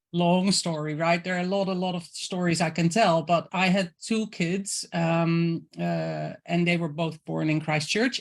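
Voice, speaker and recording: In a Dutch accent, a woman speaks at a fairly slow pace with fairly even intonation over a quiet background. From Netherlands. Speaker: intuitive creative coach. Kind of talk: interview. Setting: video call.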